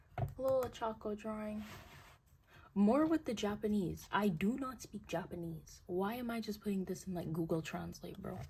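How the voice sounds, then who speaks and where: A woman's somewhat breathy, medium-pitched voice with lively intonation at a moderate pace. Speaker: artist YouTuber. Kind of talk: casual chat. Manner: animated.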